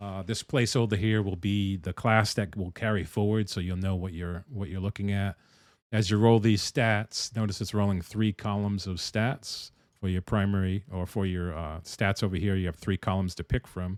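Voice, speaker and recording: This man speaks with an East Coast US accent and a fairly low pitch. His intonation stays fairly even. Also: moderate pace, very clean recording, silent background. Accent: non-rhotic East Coast, drops R's. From US East Coast. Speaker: game dev streamer. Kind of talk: live stream chat and tutorial. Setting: live stream. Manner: casual, conversational.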